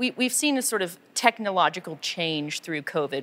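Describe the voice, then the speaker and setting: With an American accent, a woman talks at a moderate speed. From United States. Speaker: member of parliament. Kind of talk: interview. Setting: on location at a film studio. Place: studio.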